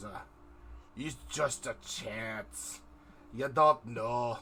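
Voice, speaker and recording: With clear background noise behind him, a man does a put-on character voice in a Scottish accent at a medium pitch and a very slow pace. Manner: poorly executed accent.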